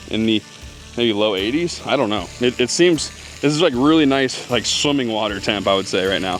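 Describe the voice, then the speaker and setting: A man at medium pitch, fairly quick and with lively intonation, music playing in the background. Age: 30s. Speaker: homesteading vlogger. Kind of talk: casual vlog talk to camera. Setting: outdoors by a pond. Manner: hesitant, many fillers and restarts.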